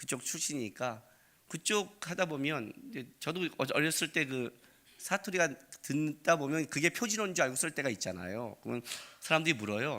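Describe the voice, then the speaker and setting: A man speaks at a moderate pace in a bright, sharp tone with vocal fry, fairly high in pitch and with very wide pitch swings. The recording is very clean, with a silent background. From Seoul, South Korea. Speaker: pastor. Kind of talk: sermon. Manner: conversational, with frequent fillers.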